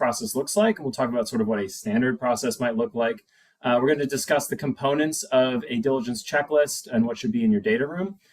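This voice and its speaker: With hardly any pauses, a man talks at a fairly quick pace and a fairly high pitch, his intonation lively. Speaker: venture capital investor. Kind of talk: workshop presentation. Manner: fast.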